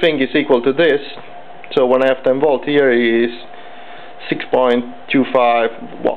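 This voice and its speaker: With noticeable background noise behind, the speaker has a non-native accent and leaves long, frequent pauses. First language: not English. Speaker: electronics hobbyist. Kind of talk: tutorial. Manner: halting.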